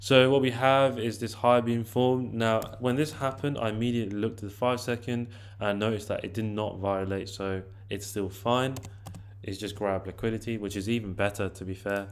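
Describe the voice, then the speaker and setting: A man's plain, everyday voice, a plain, everyday voice at a fairly low pitch, fairly quick in pace, with fairly even intonation. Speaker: forex trading educator. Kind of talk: tutorial.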